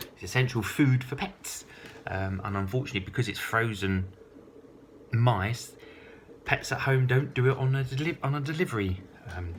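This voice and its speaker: Moderate pace, lively intonation, somewhat breathy, with long, frequent pauses. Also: man, medium pitch for a man. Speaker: vlogger. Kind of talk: casual monologue to camera. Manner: hesitant, many ums.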